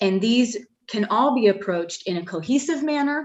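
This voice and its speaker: Her delivery is at a moderate pace with lively intonation, and the woman has an unremarkable speaking voice. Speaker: facilities planning consultant. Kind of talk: presentation to a board.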